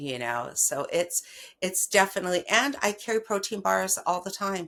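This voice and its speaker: A woman speaks in a plain, everyday voice with a fairly low pitch. Her pace is moderate. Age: 60s. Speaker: patient sharing her health story. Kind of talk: interview. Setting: podcast interview. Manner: casual, filler-heavy.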